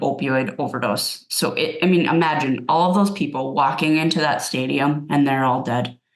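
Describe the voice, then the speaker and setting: The speaker talks with a Minnesotan accent and ordinary pitch variation. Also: woman. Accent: Minnesota. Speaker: addiction medicine clinician presenter. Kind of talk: webinar presentation. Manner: casual, with filler words.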